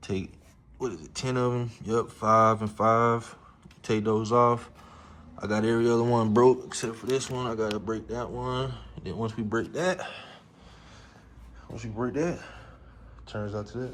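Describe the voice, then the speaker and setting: A man at a medium pitch speaks at a moderate pace with ordinary pitch variation, long and frequent pauses, big swings in loudness, and audible room echo. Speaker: amateur car mechanic, YouTuber. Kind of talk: casual repair tutorial. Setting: home garage.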